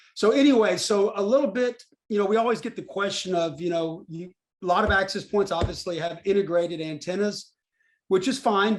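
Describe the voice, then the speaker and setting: A man with a Texas accent speaks at a high pitch. His pace is fairly quick, with ordinary pitch variation. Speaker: company presenter. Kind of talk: webinar presentation. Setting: online webinar. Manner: hesitant, many fillers.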